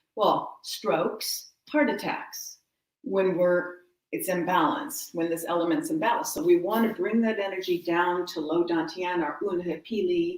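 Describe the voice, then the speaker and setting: A woman with a plain, everyday voice, medium pitch, lively intonation and a moderate pace. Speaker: wellness teacher. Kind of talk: guided exercise class.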